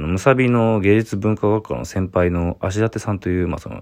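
The background is silent in this very clean recording. A man speaks at a moderate pace. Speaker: visual artist. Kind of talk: solo voice memo monologue.

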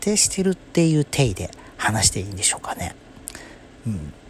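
At a medium pitch, a man speaks with very wide swings up and down. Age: 30s. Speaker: solo podcaster. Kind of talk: casual monologue. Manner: hesitant, many fillers.

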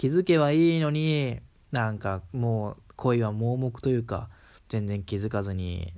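A man at medium pitch with a strong Kansai accent, lively intonation and a fairly slow pace, in a very clean recording with a silent background. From Kansai, Japan. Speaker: solo podcaster. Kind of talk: casual monologue. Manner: hesitant, many fillers.

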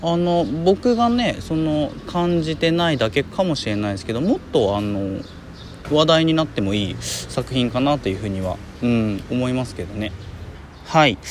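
Moderate pace from a medium-pitched man, very wide pitch swings, and noticeable background noise. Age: 30s. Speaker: podcaster, film commentator. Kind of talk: solo casual talk. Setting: outdoors in a park.

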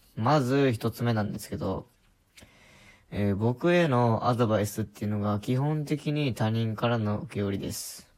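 A man at medium pitch and moderate pace, with ordinary pitch variation, in a very clean recording with a silent background. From rural Japan. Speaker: podcaster. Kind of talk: casual monologue. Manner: hesitant, many fillers.

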